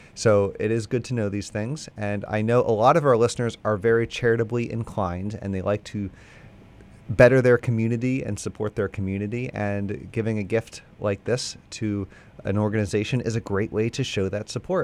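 On a very clean recording with a silent background, a man with an unremarkable speaking voice talks at a fairly quick pace, fairly low pitch and fairly even intonation. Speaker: radio station fundraiser host. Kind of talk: pledge drive pitch. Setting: radio studio.

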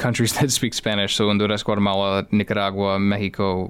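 A man with a fairly low pitch and a Chicago accent, on a very clean recording with a silent background. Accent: Chicago-area US English. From Chicago area, Illinois. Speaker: high school teacher. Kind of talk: interview.

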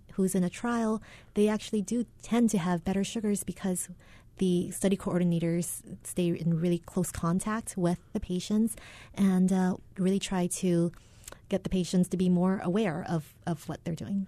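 At a moderate pace, a woman speaks in a medium-pitched, somewhat breathy voice with a dark, mellow tone and fairly even intonation over a quiet background. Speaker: physician. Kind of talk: radio health interview. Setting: studio.

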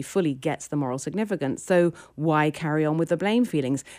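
A British accent at a moderate pace, with ordinary pitch variation, in a very clean recording with a silent background. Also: woman. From Britain. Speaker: philosophy professor. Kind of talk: interview.

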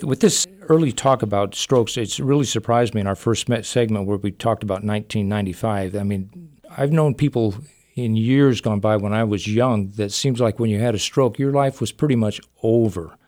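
Recorded very cleanly with a silent background, a man talks at a fairly quick pace in an ordinary speaking voice of medium pitch with ordinary pitch variation. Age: 60s. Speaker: radio host. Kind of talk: radio interview. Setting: studio.

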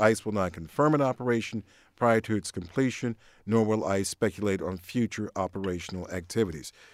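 In a normal speaking voice, a man with a fairly low pitch talks at a fairly quick pace with ordinary pitch variation. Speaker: radio host. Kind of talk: radio call-in discussion. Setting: radio studio.

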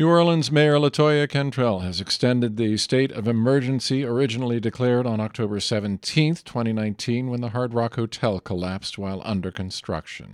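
A man with a plain, everyday voice at a medium pitch, at a fairly quick pace with hardly any pauses and ordinary pitch variation. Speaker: radio news anchor. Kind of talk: radio newscast, scripted news reading. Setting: studio. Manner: formal; measured, even-paced, steady and neutral delivery.

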